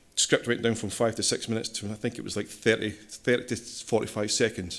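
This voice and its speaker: A man with a Scottish accent, fairly quick pace and fairly even intonation, on a very clean recording with a silent background. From Scotland. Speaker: systems engineer, conference speaker. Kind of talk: technical conference talk.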